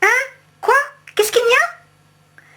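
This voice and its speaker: Squeaky and extremely high in pitch, the put-on character voice moves at a moderate pace. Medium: read story. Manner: impertinent.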